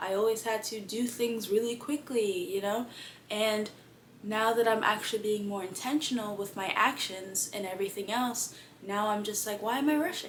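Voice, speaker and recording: Noticeable background noise can be heard. A woman talks in a fairly high pitch over it. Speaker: lifestyle vlogger. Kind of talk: casual vlog monologue. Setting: in bed at home. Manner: fast.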